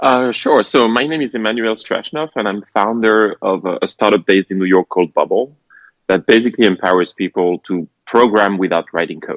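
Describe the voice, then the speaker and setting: Fairly low in pitch, a man speaks with a French accent at a fairly quick pace. His pitch variation is ordinary, and the sound is dry and close with no echo. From France. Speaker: tech startup founder. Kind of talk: podcast interview. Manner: halting, frequent fillers.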